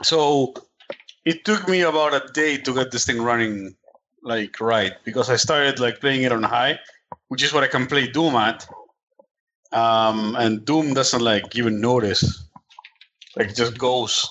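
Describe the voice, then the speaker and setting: At a fairly slow pace, a man speaks at a medium pitch with ordinary pitch variation. His loudness stays very even, broken by long, frequent pauses. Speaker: video game podcast panelist. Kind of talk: casual chat.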